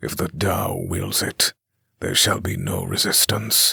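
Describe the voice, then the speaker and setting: Using a put-on character voice, a man sounds soft-spoken and raspy at a fairly slow pace. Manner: cold, menacing.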